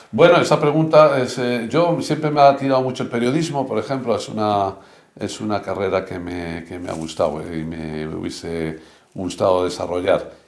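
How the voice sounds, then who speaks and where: Loudness swings a lot as a man speaks at medium pitch and a moderate pace. His pitch swings very widely, and the room echo is audible. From Spain, Burgos (Castile). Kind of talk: interview conversation. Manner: halting, many fillers.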